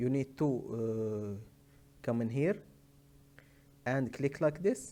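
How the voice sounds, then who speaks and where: A man speaks very slowly with a non-native accent. His tone is dark and mellow, at medium pitch with ordinary pitch variation. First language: not English. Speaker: tech tutorial maker. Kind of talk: tutorial. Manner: halting, many hesitations.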